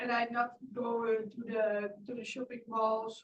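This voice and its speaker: A woman talks fairly slowly with a fairly high pitch. Her voice is somewhat breathy, and her intonation stays flat and monotone. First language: not English. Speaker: class participant. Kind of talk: testimony. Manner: halting.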